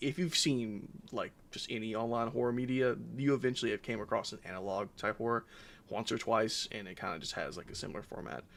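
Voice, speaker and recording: A man's medium-pitched voice with vocal fry, lively intonation and a fairly quick pace. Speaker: gaming streamer. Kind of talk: live stream reaction. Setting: live stream. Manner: halting.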